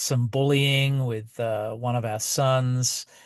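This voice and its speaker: Over a quiet background, a man with an Australian accent speaks at medium pitch in monotone, flat intonation. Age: 50s. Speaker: podcaster and author. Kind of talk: casual monologue and reading from own book. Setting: outdoors at night, outside basketball practice. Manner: halting, many fillers.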